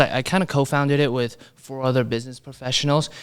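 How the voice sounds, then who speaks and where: A man speaks with a Chinese accent and fairly even intonation. The recording is very clean, with a silent background. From Brooklyn, New York, Chinese immigrant family. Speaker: mortgage broker. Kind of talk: podcast interview. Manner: casual, many fillers like you know.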